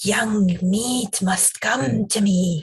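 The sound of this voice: A hissing, menacing put-on character voice. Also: woman.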